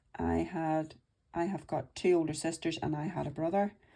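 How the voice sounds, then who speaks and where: The voice has a dark, mellow tone and a Northern Irish accent. The recording is very clean, with a silent background. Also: woman. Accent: Northern Irish (Belfast). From Northern Ireland, Belfast. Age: 50s. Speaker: budgeting vlogger. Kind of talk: personal life story monologue. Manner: casual, chatty.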